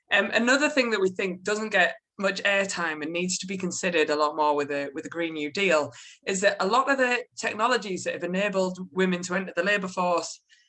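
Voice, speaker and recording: Speaking fairly quickly at a medium pitch, a woman has a bright, sharp tone and lively intonation. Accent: strong British. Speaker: policy researcher. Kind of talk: panel presentation.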